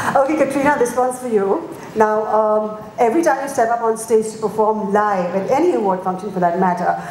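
Lively intonation at a moderate pace comes through with audible room echo and light background noise. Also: woman. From India. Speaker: event emcee. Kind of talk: live press conference hosting. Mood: warm, flattering. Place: hall. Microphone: handheld.

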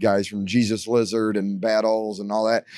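Against a quiet background, a man with an unremarkable speaking voice talks at medium pitch. His fairly slow delivery has a dry sound with no echo. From US Midwest, Detroit; Michigan. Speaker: rock musician. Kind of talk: casual interview. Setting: backstage at a bar venue. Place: bar. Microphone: handheld.

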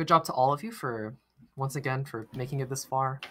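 A man speaks at a moderate pace with a fairly high pitch and ordinary pitch variation, music playing in the background. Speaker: quiz bowl moderator. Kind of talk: quiz bowl moderation, live online. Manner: hesitant, many fillers.

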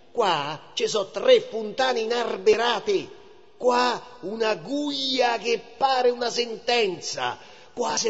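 A man speaks in a Roman accent at an extremely high pitch. His pace is very slow. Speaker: actor. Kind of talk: poetry reading.

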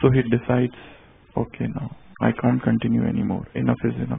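A man with an Indian accent talks at a moderate pace over noticeable background noise. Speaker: spiritual teacher. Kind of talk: sermon. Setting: stage with audience.

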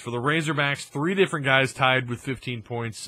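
A man's voice at a fairly slow pace, with ordinary pitch variation and a dry sound free of echo. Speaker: sports vlogger. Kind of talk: sports recap commentary. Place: home room. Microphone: studio mic.

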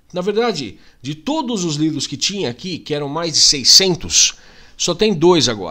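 A man speaks with lively intonation and an animated tone. His voice has a bright, sharp edge. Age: 40s. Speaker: YouTuber. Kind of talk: casual vlog monologue. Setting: home. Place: home room. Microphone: studio mic.

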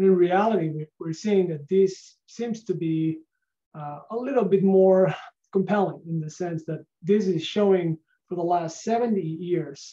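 Over a quiet background, a man with a Spanish accent speaks at a high pitch and a fairly slow pace. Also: ordinary pitch variation. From Spain. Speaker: research scientist; presenter. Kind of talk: lecture on a video call. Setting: video call. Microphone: video call.

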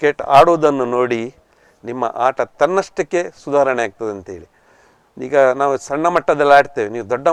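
A man's unremarkable speaking voice at medium pitch, with ordinary pitch variation and a dry, close sound with no echo. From coastal Karnataka (Kinnigoli, Dakshina Kannada). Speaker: retired banker and former cricketer. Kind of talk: interview. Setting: studio.

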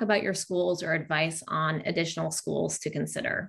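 Against a quiet background, a woman speaks with vocal fry. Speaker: webinar moderator. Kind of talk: educational webinar. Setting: video call. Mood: friendly, upbeat. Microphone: video call.

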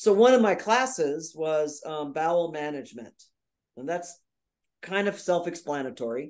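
With an American accent, a woman talks at a moderate pace against a quiet background, her fairly low pitch making very wide swings. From US Northeast (New York). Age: 60s. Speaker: nurse, coach and speaker; interview guest. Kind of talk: interview. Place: home room. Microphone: video call.

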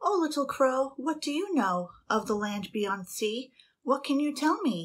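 A woman puts on a soft-spoken, breathy character voice, pitched high and delivered at a moderate pace. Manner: coaxing, gentle.

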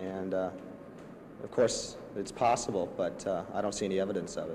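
There is noticeable background noise behind this man's voice. His pitch sits fairly low, with a dark, mellow tone. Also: moderate pace. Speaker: person questioned by press about trial. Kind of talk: press interview answer. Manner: hesitant, measured.

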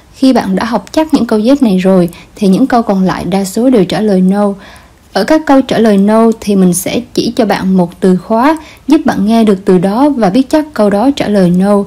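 This somewhat breathy voice has a dark, mellow tone, lively intonation and very even loudness. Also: woman, fairly high pitch for a woman, moderate pace. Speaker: language teacher. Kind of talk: instructional lesson narration.

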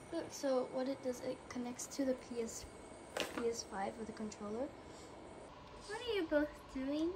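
At a moderate pace, a woman speaks with long, frequent pauses against noticeable background noise. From New Zealand. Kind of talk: casual vlog talk. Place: home room. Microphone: phone near.

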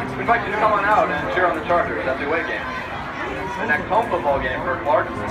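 A man speaks at a fairly quick pace. Behind him, loud music is playing. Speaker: public address announcer. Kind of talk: stadium public address closing announcement. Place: stadium.

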